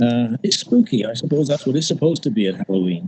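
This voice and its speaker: A man's somewhat breathy voice, dark and mellow in tone and medium in pitch, comes through with a dry, close sound and no echo. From northern England, Liverpool. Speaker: poet. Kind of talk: poetry reading with storytelling intro. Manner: halting, with many fillers.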